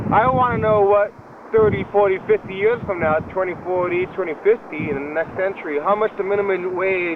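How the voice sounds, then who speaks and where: A man speaks at a high pitch. Noticeable background noise runs beneath his voice. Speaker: public access TV show host. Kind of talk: casual monologue to camera. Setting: outdoors at a shopping complex. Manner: halting, many fillers and repeats.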